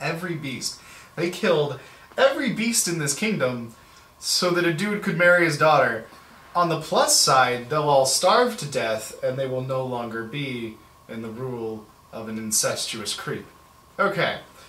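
Room echo can be heard in this clip. A man talks at a moderate pace through it. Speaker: reader, commentator. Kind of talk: reading aloud with casual commentary. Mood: wry, sarcastic asides. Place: home room.

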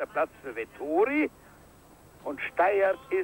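A man talks at a very slow pace with very wide pitch swings. The sound is dry and close with no echo. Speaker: ski jumping commentator. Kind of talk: live TV ski jumping commentary, archive broadcast. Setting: commentary over a broadcast of a ski jump event, crowd noise. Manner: swells with cheer at big jumps, rattles off names and distances.

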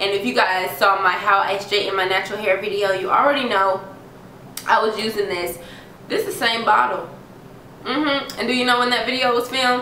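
Noticeable background noise beneath a fairly high-pitched female voice. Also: ordinary pitch variation. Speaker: beauty vlogger. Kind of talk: product review tutorial. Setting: home video recording. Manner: animated.

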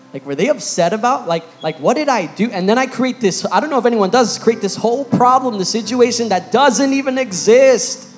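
Faint music sits in the background. The speech moves at a fairly quick pace. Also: man. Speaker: youth preacher. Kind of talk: sermon. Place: church. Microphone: handheld.

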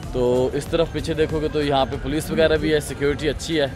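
A man talks with fairly even intonation in a dry sound with no echo. Clear music plays in the background. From Pakistan. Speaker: travel vlogger. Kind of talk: casual travel vlog talk to camera. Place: beach. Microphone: phone near.

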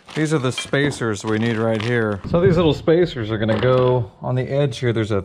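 Fairly quick male speech with hardly any pauses and ordinary pitch variation over noticeable background noise. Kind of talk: tutorial. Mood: upbeat, excited. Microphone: phone near.

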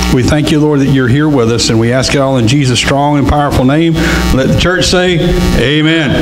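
Music plays in the background as a man talks. His pace is moderate and his pitch variation ordinary. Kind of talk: church welcome and prayer. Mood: warm, upbeat, then prayerful. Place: church.

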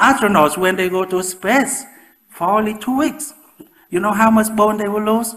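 This man has a Vietnamese accent and a high-pitched voice. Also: ordinary pitch variation, moderate pace, quiet background. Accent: Vietnamese-accented English, moderate. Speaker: professor and osteoporosis researcher. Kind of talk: public lecture. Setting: lecture with audience. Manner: halting, with frequent fillers. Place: hall.

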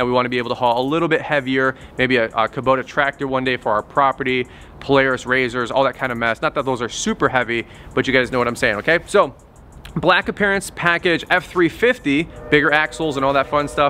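With music in the background, a man's speech moves fairly quickly and shows ordinary pitch variation. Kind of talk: casual vlog chat. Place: street.

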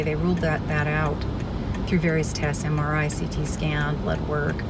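There is loud background noise as a woman speaks at a moderate pace, the sound dry with no echo. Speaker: lifestyle vlogger. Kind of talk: casual vlog chat. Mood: serious, emotional personal news. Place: car.

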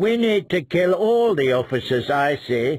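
Doing a put-on character voice, a man sounds raspy at a fairly high pitch, with very wide pitch swings and a moderate pace. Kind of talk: audiobook character voice. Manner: complaining, sour, scheming.

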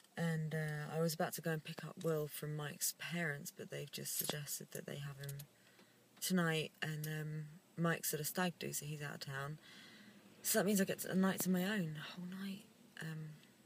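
Over light background noise, a woman speaks in a very deep, low pitch, somewhat breathy, with fairly even intonation. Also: moderate pace, dry sound with no echo. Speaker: vlogger. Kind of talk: casual vlog chat. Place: car. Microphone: phone near.

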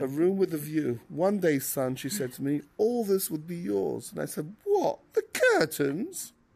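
Putting on a playful tone, a man speaks in an English accent with a high pitch, very wide pitch swings and a fairly slow pace. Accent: refined English. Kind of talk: casual chat. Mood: playful, joking. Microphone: headset.

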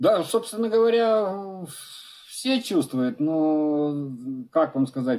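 At a very slow pace and with long, frequent pauses, a man speaks in a dark, mellow tone, his pitch high and swinging very widely. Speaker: maritime news editor. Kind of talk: remote interview. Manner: colloquial. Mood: bitter, ironic. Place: home room.

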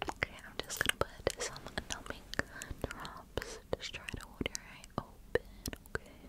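A woman whispers at a fairly slow pace in a gentle, soothing tone. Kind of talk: soft roleplay talk to viewer. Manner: gentle soothing whisper. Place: home room. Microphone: phone near.

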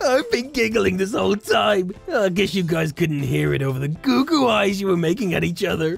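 Faint music plays behind a put-on character voice at a middle pitch and moderate pace. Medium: role play. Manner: playful, teasing.

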